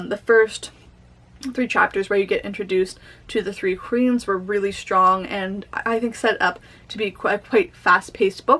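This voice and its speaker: A woman with a plain, everyday voice speaks at a medium pitch. Her pace is fairly slow and her intonation fairly even. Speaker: booktuber. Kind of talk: casual book review vlog.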